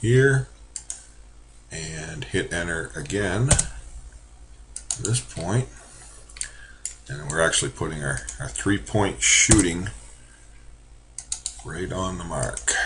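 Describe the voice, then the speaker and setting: Over noticeable background noise, a man with a very deep, low voice speaks at a very slow pace, his pitch swinging very widely between long, frequent pauses. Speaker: college drafting instructor. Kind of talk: screen-recorded software tutorial. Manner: casual with many fillers.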